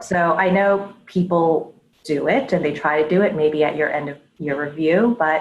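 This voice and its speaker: Here is a woman with a normal speaking voice and an American accent. She sounds fairly low, with ordinary pitch variation at a moderate pace. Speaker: head of data and analytics. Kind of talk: interview before live audience. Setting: live audience event.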